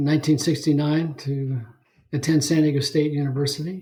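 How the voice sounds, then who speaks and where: This man has a fairly high pitch and an American accent. His dark, mellow tone is somewhat breathy. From Northern California (Bay Area, Saratoga). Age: 70s. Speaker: podcast guest, ocean swimmer. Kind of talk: casual interview chat. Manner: halting with fillers.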